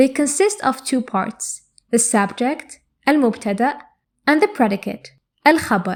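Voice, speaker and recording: With an Arabic accent, a woman speaks at a fairly slow pace with lively intonation. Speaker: Arabic language teacher. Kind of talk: tutorial. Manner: clear and measured.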